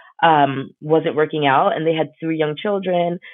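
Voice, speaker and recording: With a New York accent, a woman speaks at a very deep, low pitch. Her intonation stays fairly even. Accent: New York American English. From New York City (Brooklyn, Queens), Ghanaian parents. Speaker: podcast guest, blogger. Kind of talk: casual chat.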